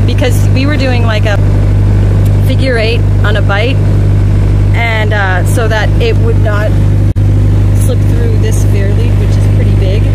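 A woman's fairly slow speech with long, frequent pauses, dry with no echo, under loud background noise. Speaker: sailing vlogger. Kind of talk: tutorial. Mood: cheerful. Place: boat.

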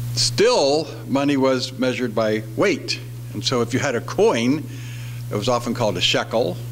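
A man is talking at a moderate pace. Behind him, there is music in the background. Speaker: preacher. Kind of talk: sermon. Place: church. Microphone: podium.

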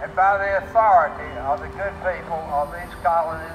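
A high-pitched man with an American accent, amid noticeable background noise. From United States. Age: 80s+. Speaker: war veteran. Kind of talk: reading a historic document aloud to a gathering. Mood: solemn, ceremonial. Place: garden. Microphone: camera far.

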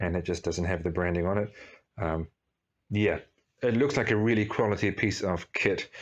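The speaker is a man. He keeps a moderate pace. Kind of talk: casual vlog chat. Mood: pleased, enthusiastic. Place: workshop. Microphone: phone near.

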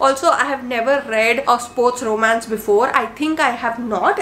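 A woman talks in a high-pitched voice over noticeable background noise. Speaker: book reviewer. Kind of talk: casual monologue video. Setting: home video recording. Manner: warm, chatty.

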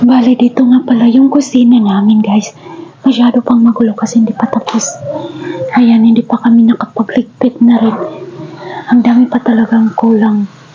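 A woman's fairly high, monotone voice at a moderate pace, with flat intonation, very even loudness and noticeable background noise. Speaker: vlogger, overseas worker. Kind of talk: house tour vlog. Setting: walking through own house.

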